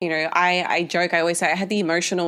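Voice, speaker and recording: A woman with an Australian accent talks at a very fast pace in a fairly low pitch. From Australia, Tasmania. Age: 30s. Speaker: dietitian and physique coach. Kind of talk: podcast interview. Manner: hesitant, many fillers.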